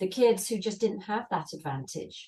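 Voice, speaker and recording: A woman speaks with a British accent. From England. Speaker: volunteer. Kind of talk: interview.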